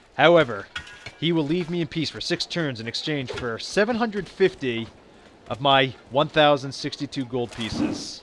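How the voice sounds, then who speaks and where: A man speaks at a moderate pace with a fairly high pitch and lively intonation. Noticeable background noise can be heard. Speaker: video game let's play narrator. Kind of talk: gameplay commentary. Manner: halting, many fillers and restarts.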